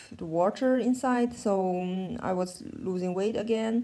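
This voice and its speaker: A woman with a German accent and a medium pitch. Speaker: vlogger. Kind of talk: personal vlog update. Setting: in bed at home. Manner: halting.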